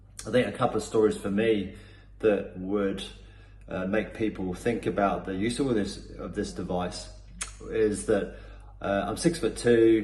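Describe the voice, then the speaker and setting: Amid audible room echo, a man with a fairly low pitch and vocal fry speaks at a fairly slow pace with ordinary pitch variation and long, frequent pauses. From Cornwall, England. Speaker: performance coach. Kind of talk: testimonial. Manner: hesitant, many fillers and repetitions.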